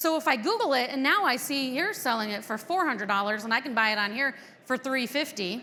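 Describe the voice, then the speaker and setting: Over noticeable background noise, a woman talks at a very fast pace in an animated tone with very wide pitch swings. Her voice is raised and projected. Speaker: conference presenter on dealership business. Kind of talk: conference talk. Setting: stage with audience. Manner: loud.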